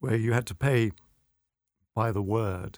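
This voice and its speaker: A man speaks at a moderate pace in a British accent. The recording is very clean, with a silent background. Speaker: magazine editor. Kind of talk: debate discussion. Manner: formal, hesitant with fillers.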